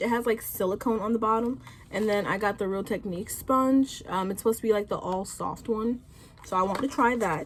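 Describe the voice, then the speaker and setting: At a moderate pace, a woman talks with fairly high pitch and ordinary pitch variation over noticeable background noise. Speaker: beauty YouTuber. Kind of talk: casual makeup tutorial talk to camera.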